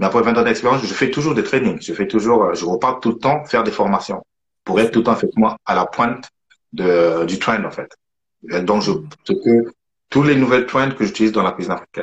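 A man's medium-pitched voice at a fairly quick pace, broken by long, frequent pauses. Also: lively intonation. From southern France, Toulouse. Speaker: chef. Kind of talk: casual chat.

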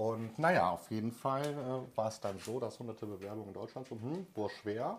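A man's medium-pitched, ordinary speaking voice at a moderate pace, with ordinary pitch variation. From Germany, Cologne-Düsseldorf area. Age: 30s. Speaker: emigrant telling his story. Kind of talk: casual interview.

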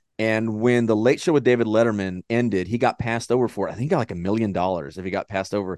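A man talks at a very fast pace with hardly any pauses. His tone is animated. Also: medium pitch for a man, ordinary pitch variation, dry, close sound with no echo. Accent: Texan. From Texas. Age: 30s. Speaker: podcast host. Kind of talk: casual chat.

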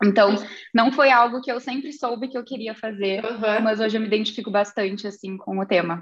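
A woman talks at a fairly quick pace in a fairly high voice, her intonation fairly even. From southern Brazil, Rio Grande do Sul (Santa Vitória do Palmar). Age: 30s. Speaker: business executive. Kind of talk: interview.

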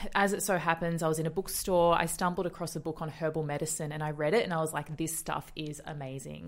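An Australian-accented woman talks at a very fast pace with a fairly low pitch. The recording is very clean, with a silent background. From Australia, western suburbs of Melbourne. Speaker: naturopath and nutritionist. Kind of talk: interview conversation.

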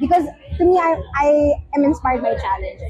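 A woman's voice over noticeable background noise. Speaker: honoree. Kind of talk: event interview. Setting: recognition dinner event.

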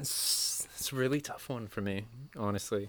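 A plain, everyday voice moves at a fairly slow pace. The intonation stays fairly even. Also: man. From Maine, US (midcoast, Camden). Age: 20s. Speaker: videographer and photographer. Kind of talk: casual chat. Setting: home studio.

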